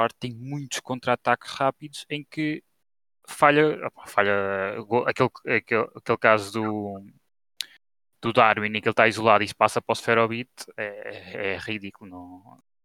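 A plain, everyday voice from a man at medium pitch, with ordinary pitch variation, a moderate pace, big swings in loudness and a dry, close sound with no echo. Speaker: football commentator. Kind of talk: casual football discussion.

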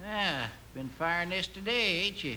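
Using a put-on character voice, a man speaks high-pitched in a bright, sharp tone with lively intonation. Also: moderate pace.

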